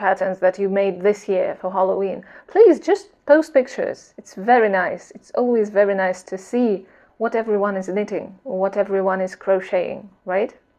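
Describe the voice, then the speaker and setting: A woman's medium-pitched voice with a non-native accent, fairly even intonation and a fairly slow pace. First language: not English. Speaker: knitting vlogger. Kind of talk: casual vlog chat. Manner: hesitant, with fillers and repetitions.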